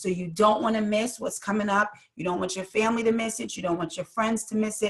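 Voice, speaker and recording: A woman's fairly high voice races at a very fast pace through noticeable background noise. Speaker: podcast co-host. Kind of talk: podcast announcement. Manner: enthusiastic.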